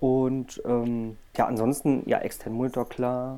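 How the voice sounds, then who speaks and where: The man talks very slowly, his medium pitch showing ordinary variation. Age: 30s. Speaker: project manager. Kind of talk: casual chat.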